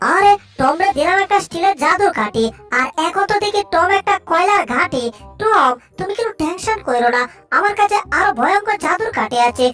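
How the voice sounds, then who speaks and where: An extremely high, cartoonish character voice moves at a moderate pace over faint background music. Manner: chatty, teasing, rustic.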